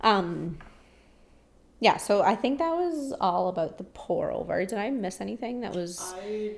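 With a Canadian accent, this ordinary speaking voice moves at a fairly slow pace with ordinary pitch variation. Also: woman. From rural Ontario, Canada. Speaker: barista. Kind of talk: casual chat.

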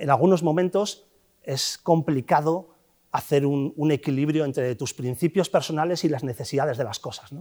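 A man's fairly high voice with a dark, mellow tone, moderate pace, ordinary pitch variation and big swings in loudness. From Basque Country/Cantabria coast, Castro Urdiales. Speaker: fund manager. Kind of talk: interview.

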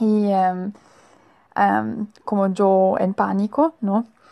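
A woman speaks with a German accent. Her voice sits at a medium pitch with a dark, mellow tone. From Germany. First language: German (speaking Spanish). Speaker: Spanish student. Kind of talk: recorded monologue. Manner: halting.

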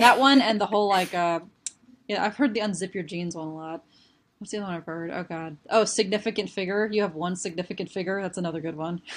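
The speech moves at a very fast pace with big swings in loudness. The recording is very clean, with a silent background. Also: woman, medium pitch for a woman, ordinary pitch variation. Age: 20s. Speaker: molecular biology student. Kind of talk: educational explanation. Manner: animated.

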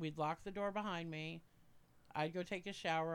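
At a moderate pace, a woman speaks in a plain, everyday voice, fairly low in pitch and with fairly even intonation. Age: 40s. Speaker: podcast guest, family friend. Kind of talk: casual chat.

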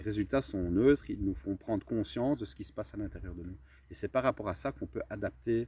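A man speaks at a fairly quick pace with lively intonation, vocal fry and a dark, mellow tone. The recording is very clean, with a silent background. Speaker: entrepreneur and mindset coach. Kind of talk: casual interview. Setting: outdoors in a garden.

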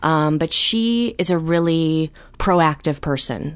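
Lively in intonation, a woman with an American accent has an unremarkable speaking voice at a fairly low pitch. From US Midwest, Chicago. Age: 30s. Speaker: writer and comedian. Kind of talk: personal testimony in interview.

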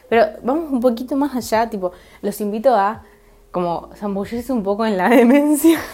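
A woman talks at a moderate pace and a fairly high pitch, with lively intonation. Noticeable background noise sits behind her. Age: 20s. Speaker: podcaster. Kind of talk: solo monologue podcast. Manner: halting, many fillers.

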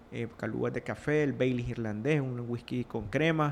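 A man with a Nicaraguan accent, medium pitch and a moderate pace. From Nicaragua, Rivas (south). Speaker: entrepreneur, liquor and chocolate producer. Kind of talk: interview.

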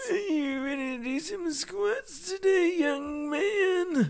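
A put-on character voice, high in pitch, at a very slow pace.

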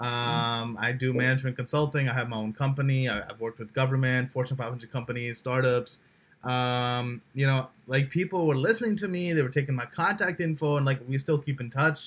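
At a fairly quick pace, a man talks with hardly any pauses. His medium pitch carries ordinary pitch variation. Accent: New Jersey. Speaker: podcast host. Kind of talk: casual interview chat.

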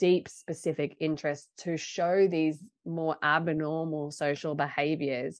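With an Australian accent, a woman talks fairly slowly in a very deep, low voice, her intonation monotone and flat. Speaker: podcast co-host, researcher. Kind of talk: casual chat.

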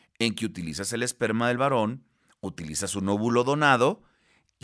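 The recording is very clean and the background silent. The voice has a bright, sharp tone. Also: man. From Mexico, Baja California Sur. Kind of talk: interview.

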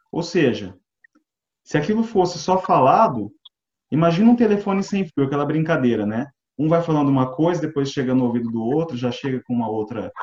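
At a fairly quick pace, a man speaks with a fairly high pitch and very wide pitch swings. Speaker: Bible study participant. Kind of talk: Bible study discussion. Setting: video call from home.

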